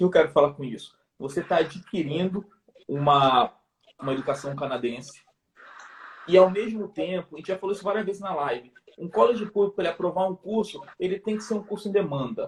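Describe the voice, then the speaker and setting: Using a high pitch and lively intonation, a man speaks with big swings in loudness and long, frequent pauses. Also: fairly quick pace. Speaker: immigration consultant. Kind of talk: live stream talk. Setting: live video stream.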